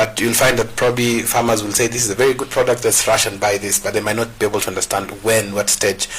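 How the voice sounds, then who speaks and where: A man talks at a very fast pace with monotone, flat intonation. Noticeable background noise runs underneath. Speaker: farming show host. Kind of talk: talk show interview.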